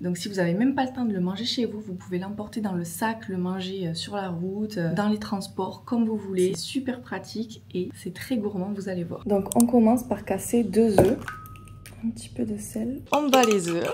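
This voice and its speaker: A woman at a medium pitch with ordinary pitch variation and a moderate pace, over noticeable background noise. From southern France. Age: 20s. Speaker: food content creator. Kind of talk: casual cooking talk to camera. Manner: upbeat, cheerful.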